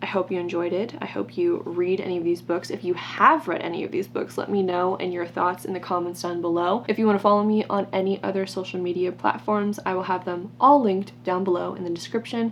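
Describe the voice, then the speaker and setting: Over noticeable background noise, a woman with a medium-pitched voice talks at a fairly quick pace with hardly any pauses. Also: ordinary pitch variation. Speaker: book YouTuber. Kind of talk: casual vlog chat. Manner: fast; animated.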